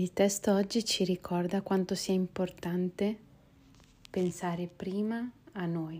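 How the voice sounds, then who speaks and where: A woman speaks very slowly at a medium pitch, with a dark, mellow tone and monotone, flat intonation. Long, frequent pauses break up the speech in a very clean recording with a silent background. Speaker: spiritual text reader and teacher. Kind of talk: reflective commentary; reading aloud. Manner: quieter, softer voice.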